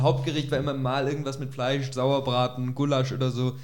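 A man talks at a moderate pace. His voice sits fairly high. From Augsburg, Germany. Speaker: podcast co-host. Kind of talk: casual chat. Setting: kitchen recording.

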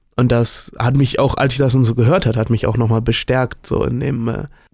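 The voice has a dark, mellow tone and a moderate pace. The recording is very clean, with a silent background. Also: man. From Germany, Bergisches Land near Cologne. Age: 20s. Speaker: student podcast co-host. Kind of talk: casual chat.

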